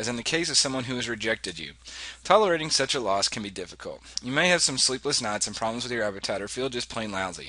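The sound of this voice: Lively intonation in an unforced reading voice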